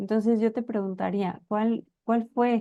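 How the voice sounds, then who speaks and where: The voice has a dark, mellow tone and moves at a moderate pace. The sound is dry and close with no echo, against a quiet background. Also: woman. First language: Spanish (speaking Portuguese). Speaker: interviewer. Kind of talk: interview.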